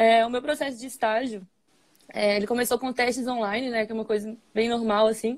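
Flat, monotone intonation runs through speech delivered at a fairly quick pace. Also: woman, fairly high pitch for a woman. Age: 20s. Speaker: engineering trainee at a brewing company. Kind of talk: interview on a live stream. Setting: online live stream.

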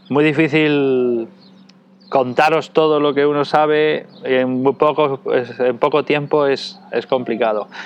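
Amid noticeable background noise, a man at fairly high pitch speaks at a very slow pace with very even loudness and fairly even intonation. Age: 40s. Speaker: dog trainer and breeder. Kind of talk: interview. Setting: at his home.

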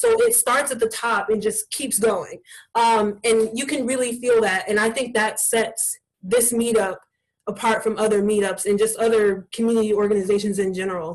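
A woman with an American accent speaks at a moderate pace in an ordinary speaking voice. Her pitch sits fairly high, and her intonation stays fairly even. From Columbus, Ohio. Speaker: community group organizer. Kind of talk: casual interview. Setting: video call.

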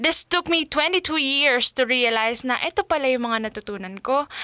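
A woman speaks at a high pitch and a fairly slow pace. Her pitch variation is ordinary, and the sound is dry and close with no echo. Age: 20s. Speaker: podcast host, teacher. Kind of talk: casual monologue podcast. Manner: chatty, talkative.

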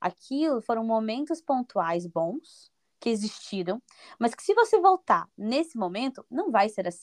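Over a quiet background, a woman with an unremarkable speaking voice uses a fairly high pitch and lively intonation at a fairly slow pace, the sound dry and close with no echo. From Brazil, Paraná (Curitiba area). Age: 20s. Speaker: Brazilian immigrant in Portugal. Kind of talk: podcast interview.

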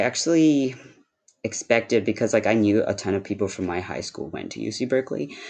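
His medium-pitched voice has vocal fry and lively intonation as this man talks. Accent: American. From US West Coast (Cupertino, California). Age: 20s. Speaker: university office assistant. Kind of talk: casual interview.

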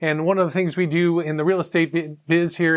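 The voice has an American accent and fairly even intonation. The pace is moderate. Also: man, very clean recording, silent background. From US Midwest, Chicago. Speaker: real estate agent. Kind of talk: promotional video talk. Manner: halting, many fillers.

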